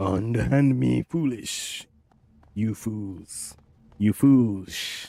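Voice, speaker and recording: Bellowing in a put-on character voice, a man talks very slowly at a fairly low pitch, leaving long, frequent pauses. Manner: roaring.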